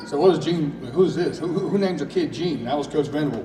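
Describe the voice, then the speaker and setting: Noticeable background noise and audible room echo accompany a man speaking at a fairly quick pace, with fairly high pitch and ordinary pitch variation. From Louisiana, then East Tennessee. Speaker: high school football coach. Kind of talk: emotional press conference speech. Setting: school event with audience. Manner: halting.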